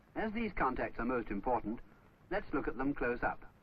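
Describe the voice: A man's voice with big pitch swings and audible room echo. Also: medium pitch for a man, moderate pace.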